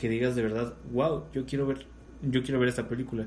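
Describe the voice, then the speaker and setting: A man's voice carries an audible room echo. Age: 20s. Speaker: podcast host. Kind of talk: casual chat.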